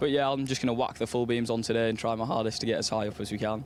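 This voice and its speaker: This man has a Yorkshire accent and a medium pitch. His intonation stays fairly even. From West Yorkshire, England. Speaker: racing driver. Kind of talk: paddock interview.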